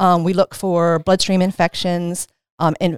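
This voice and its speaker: A woman with an American accent speaks at a moderate pace in a fairly low pitch, using a normal speaking voice. The recording is very clean with a silent background, and the sound is dry and close with no echo. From Maryland Eastern Shore, Caroline County. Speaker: infection prevention nurse. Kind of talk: interview.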